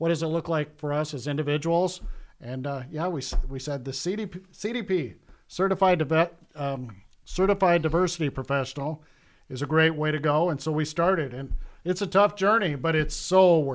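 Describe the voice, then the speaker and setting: He is a man with a fairly high voice and a normal speaking voice. He talks at a fairly quick pace with ordinary pitch variation in a very clean recording over a silent background. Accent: American. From Iowa (Cedar Rapids). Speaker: bank executive. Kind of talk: casual interview.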